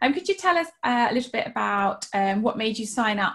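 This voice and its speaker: In a British accent, against a quiet background. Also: woman. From England. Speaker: podcast co-host and writer. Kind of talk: casual chat. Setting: video call. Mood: warm, friendly. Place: home room. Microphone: video call.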